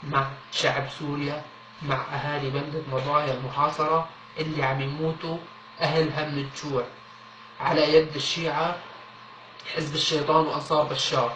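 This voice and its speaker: A man speaks with a Syrian accent in a monotone, flat intonation, with long, frequent pauses. Audible room echo and noticeable background noise fill the recording. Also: fairly high pitch for a man, fairly slow pace. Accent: Syrian Levantine Arabic. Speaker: appeal video speaker. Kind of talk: public appeal. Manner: earnest, pleading.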